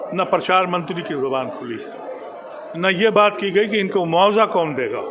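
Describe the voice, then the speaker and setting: Background noise is clearly present, and the room's echo can be heard. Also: man. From India. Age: 70s. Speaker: former politician. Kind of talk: interview. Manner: impassioned.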